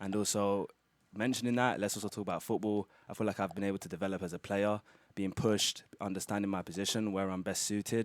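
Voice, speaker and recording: Speaking at a very fast pace, a man with a British accent has a very deep, low pitch. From London, England. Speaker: college soccer player. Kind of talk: interview.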